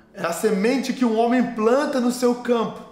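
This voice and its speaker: Noticeable background noise and audible room echo fill the recording. A man talks through it at a moderate pace. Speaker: pastor. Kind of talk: sermon. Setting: online video sermon.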